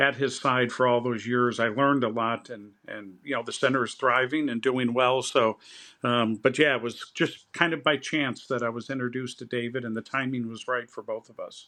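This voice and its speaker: In an American accent, a man speaks at a moderate pace in a medium pitch, his tone bright and sharp and his intonation fairly even, against a quiet background. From US Midwest, Chicago area. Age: 60s. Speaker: think tank president, poet. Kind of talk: interview conversation. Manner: halting, many repetitions.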